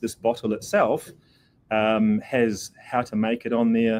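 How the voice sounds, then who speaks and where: A man of medium pitch speaks with a New Zealand accent and fairly even intonation. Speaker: pet product company representative. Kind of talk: product demo interview. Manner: casual, many fillers.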